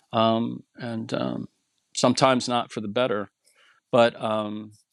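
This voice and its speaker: In an American accent, a man of medium pitch speaks at a fairly slow pace with monotone, flat intonation. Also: dry, close sound with no echo. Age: 60s. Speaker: clothing blogger. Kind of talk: casual chat. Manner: halting, many fillers and restarts.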